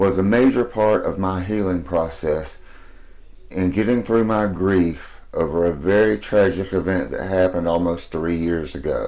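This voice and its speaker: With audible room echo, a man of very deep, low pitch and dark, mellow tone speaks at a moderate pace with ordinary pitch variation. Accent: American. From US South, Alabama. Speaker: fan vlogger. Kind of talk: personal video message.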